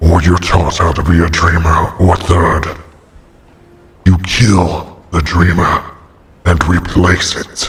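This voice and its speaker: A put-on character voice growls at a fairly slow pace in a monotone, flat delivery. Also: man, very deep, low pitch for a man. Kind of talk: dark storytelling voice-over. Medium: audio drama.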